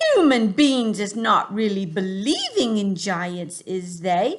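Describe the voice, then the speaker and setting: Someone performs a put-on character voice, pitched fairly high. The delivery is fairly slow. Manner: gentle, earnest.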